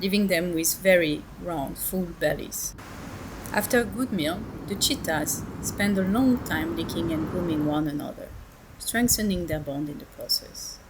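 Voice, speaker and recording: A woman with a French accent speaks at a fairly slow pace over noticeable background noise. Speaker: wildlife monitor. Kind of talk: documentary narration.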